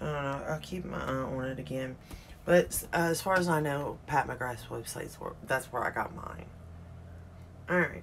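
A woman's very deep, low voice at a moderate pace, with ordinary pitch variation and light background noise. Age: 40s. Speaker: beauty YouTuber. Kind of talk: casual makeup tutorial. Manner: animated. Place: home room. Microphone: phone near.

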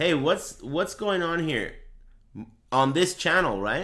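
This man speaks at a fairly slow pace. His tone is bright and sharp, with vocal fry. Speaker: streamer commentating fighting game matches. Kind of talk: casual live stream commentary. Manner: casual, profane, laughs a lot.

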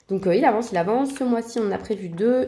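With lively intonation, a woman speaks at a medium pitch over noticeable background noise. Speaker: colouring hobby vlogger. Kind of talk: casual vlog monologue. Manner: casual, relaxed, hesitant with filler words.

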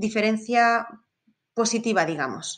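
Against a quiet background, a woman speaks fairly slowly in an ordinary speaking voice pitched fairly high. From Spain. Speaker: safari tour operator. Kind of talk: interview.

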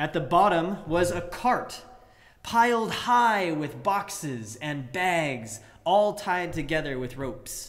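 The speech moves at a very slow pace, with very wide pitch swings. Music plays in the background. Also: man. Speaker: preacher. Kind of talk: sermon delivering a fairy tale. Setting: livestream sermon during church closure. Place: church. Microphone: webcam.

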